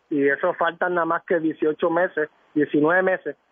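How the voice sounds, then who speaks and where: This man has a fairly high pitch and fairly even intonation, an ordinary speaking voice. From Puerto Rico, San Juan. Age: 50s. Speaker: former politician. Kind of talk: radio interview. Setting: phone call.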